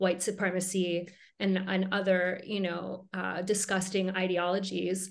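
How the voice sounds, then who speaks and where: Someone with an American accent speaks at a fairly slow pace in a monotone, flat intonation. There is audible room echo. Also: woman, medium pitch for a woman. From Minnesota, US Upper Midwest. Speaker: tattoo artist and magic shop owner. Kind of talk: casual interview chat. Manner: halting, many fillers.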